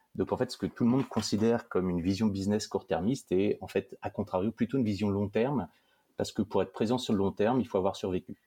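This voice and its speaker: Recorded very cleanly against a silent background, with a dry, close sound and no echo, a man with a dark, mellow tone and fairly low pitch talks at a very fast pace in fairly even intonation. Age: 40s. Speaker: startup co-founder. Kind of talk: interview.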